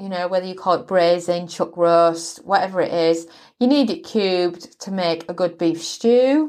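Against a quiet background, a woman with a British accent speaks with lively intonation. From Britain. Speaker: podcast host cooking. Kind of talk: recipe tutorial. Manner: friendly, instructional.

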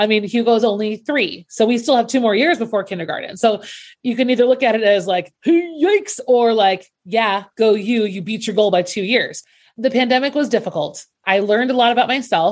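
Heard in a very clean recording with a silent background, a woman with an ordinary speaking voice talks at a fairly quick pace, her fairly high pitch showing ordinary variation. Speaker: podcast co-host and teacher. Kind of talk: casual chat podcast.

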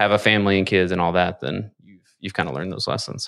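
A man with a Kentucky accent speaks at a fairly quick pace and a fairly low pitch. The recording is very clean, with a silent background. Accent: Kentucky Southern US. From Kentucky, rural Lawrenceburg. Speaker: business owner. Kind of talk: casual interview. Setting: studio.

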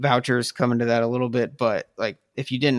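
A man with a Midwestern US accent, very fast pace and monotone, flat intonation. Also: very clean recording, silent background. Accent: US Midwest. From South Bend, Indiana. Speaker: writer of an article series. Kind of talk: casual chat. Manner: halting.

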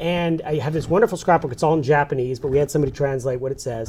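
Somewhat breathy, a man with an American accent speaks at a very fast pace. His pitch is fairly high, with ordinary variation. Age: 40s. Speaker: newspaper publisher. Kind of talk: interview. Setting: studio.

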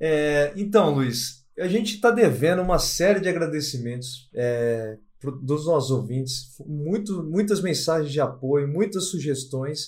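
Hardly pausing, a man speaks at a fairly slow pace in a fairly high, somewhat breathy voice with lively intonation. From Brazil, interior of São Paulo state (Lins). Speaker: podcast co-host. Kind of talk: casual discussion.

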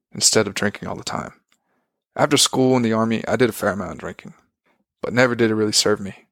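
An unremarkable speaking voice with fairly even intonation. The sound is dry and close with no echo, and the recording is very clean with a silent background. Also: man. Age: 20s. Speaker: solo podcast host. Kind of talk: personal reflective monologue.

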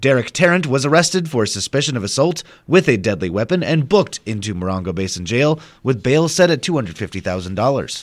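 Very fast speech with very wide pitch swings comes through in a very clean recording with a silent background. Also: man, medium pitch for a man. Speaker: radio news anchor. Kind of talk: news reading. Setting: radio studio broadcast. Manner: formal, steady newsreader delivery; brisk and even.

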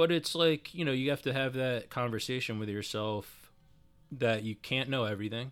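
Recorded very cleanly against a silent background, a man with an ordinary speaking voice talks at a medium pitch and a moderate pace. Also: ordinary pitch variation. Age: 30s. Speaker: personal training client. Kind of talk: casual chat.

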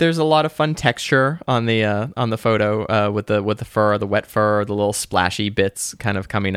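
An unremarkable speaking voice: a man with an American accent talks at a fairly low pitch and fairly slow pace, with ordinary pitch variation and hardly any pauses, in a very clean, dry, close recording with no echo and a silent background. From Boston. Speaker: podcast co-host. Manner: casual, conversational.

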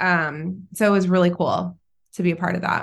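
A woman speaks with a Californian accent at a medium pitch. The background is quiet. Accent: Californian American. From Southern California. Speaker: entrepreneur. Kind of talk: casual chat.

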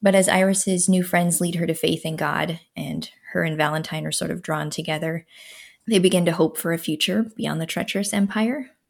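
A woman with an American accent speaks at a moderate pace in a fairly low pitch, her fairly even intonation carrying vocal fry, on a very clean recording with a silent background. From Minnesota. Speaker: novelist. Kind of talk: interview chat.

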